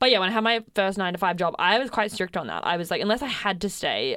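Speaking at a very fast pace, a woman talks with an Australian accent. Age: 20s. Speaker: podcast host, freelancer. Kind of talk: casual chat.

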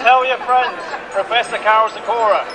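A man speaks in an extremely high voice. Noticeable background noise runs behind him. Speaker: rally speaker. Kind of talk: rally speech, rousing. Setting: outdoors, stage with crowd.

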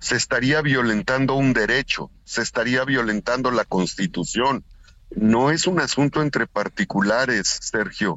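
In an unremarkable speaking voice, a man talks at a fairly slow pace with medium pitch and very even loudness. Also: ordinary pitch variation. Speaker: senator. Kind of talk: radio interview.

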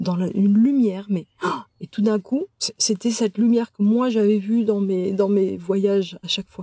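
Fairly slow, somewhat breathy speech from a woman, medium in pitch with a dark, mellow tone, fairly even intonation, and a dry, close sound with no echo. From France, childhood partly in Algeria. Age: 50s. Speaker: medium and therapist. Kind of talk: interview. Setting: in person. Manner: halting, many hesitations.

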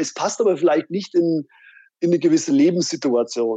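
The recording is dry and close with no echo, as a man with a dark, mellow tone and fairly high pitch talks at a moderate pace with ordinary pitch variation. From Fulda, Hesse (Rhön), Germany. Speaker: hobbyist, motorcyclist. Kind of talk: casual chat.

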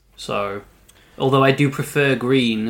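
A man at a medium pitch, with fairly even intonation. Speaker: podcast host. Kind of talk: casual chat. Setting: home recording.

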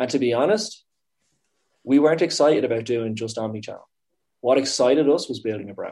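A man with a Dublin accent talks at a fairly quick pace in a medium pitch, his lively intonation paired with big swings in loudness and long, frequent pauses. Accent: Dublin Irish. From Dublin, Ireland. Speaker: startup founder and CEO. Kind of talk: casual interview conversation.

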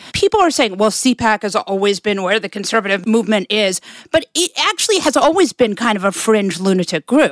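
With lively intonation and a fairly high pitch, a woman talks at a fairly quick pace in an unremarkable speaking voice, recorded dry and close with no echo. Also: hardly any pauses. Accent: American. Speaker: podcast host and pundit. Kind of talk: interview conversation.

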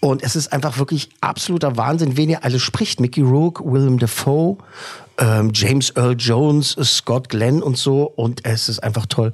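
A man speaks in a somewhat breathy voice with ordinary pitch variation. His loudness stays very even. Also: medium pitch for a man, moderate pace. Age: 40s. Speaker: film podcast host. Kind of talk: casual chat, interview.

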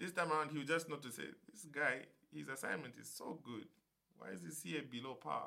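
With vocal fry and a bright, sharp tone, a man speaks at a fairly quick pace in a fairly high pitch, his loudness swinging widely. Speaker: podcast guest. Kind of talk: casual chat. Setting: studio.

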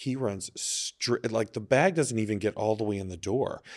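A man with an unremarkable speaking voice talks at a moderate pace in a fairly low pitch with ordinary pitch variation. The recording is very clean, with a silent background. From Texas. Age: 40s. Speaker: adult film performer and entrepreneur. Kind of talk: casual interview chat. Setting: studio.

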